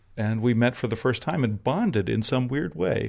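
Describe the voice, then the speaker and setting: This man's pitch varies in an ordinary way as he keeps a moderate pace. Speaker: photographer and actor. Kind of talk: interview. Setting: own home. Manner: halting, repeats words.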